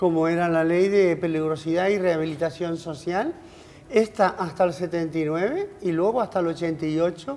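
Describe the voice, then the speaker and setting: A woman with a plain, everyday voice speaks at a moderate pace. Her pitch is fairly low and varies in an ordinary way. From Canary Islands, Spain. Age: 60s. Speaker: politician, former regional MP. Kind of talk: TV interview. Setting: TV studio.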